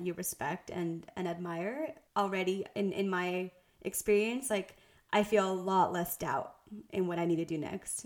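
A woman's medium-pitched voice with fairly even intonation, an unremarkable speaking voice. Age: young. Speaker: podcast co-host, brand designer. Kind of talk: casual podcast chat.

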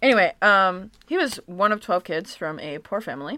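In a very clean recording with a silent background, a woman with an American accent speaks at a moderate pace in a bright, sharp tone. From Michigan. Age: 20s. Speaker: podcast host. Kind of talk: casual chat. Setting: living room floor.

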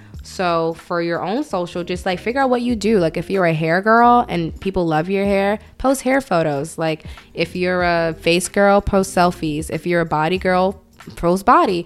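Music plays in the background while a woman with a fairly low voice speaks at a moderate pace with ordinary pitch variation. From Brooklyn, New York, some childhood in Atlanta. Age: 20s. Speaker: online magazine founder. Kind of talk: casual chat.

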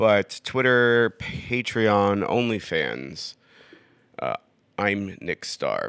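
A man with an American accent speaks at a very slow pace in a serious tone, the sound dry and close with no echo. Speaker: podcaster. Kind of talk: casual solo podcast monologue. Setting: living room, recording on iPad. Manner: drawn-out and serious in podcast voice.

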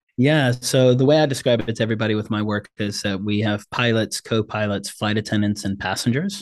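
This man has a normal speaking voice, fairly low in pitch with fairly even intonation. He talks at a fairly quick pace with hardly any pauses against a quiet background. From South Africa and Congo, moved to US as refugee child. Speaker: brain-based Enneagram coach. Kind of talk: interview.

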